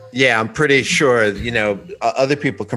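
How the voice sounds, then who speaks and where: A man with an American accent, ordinary pitch variation and a fairly quick pace, over noticeable background noise. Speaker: guitar gear repair tech and player. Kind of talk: casual chat. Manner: loud.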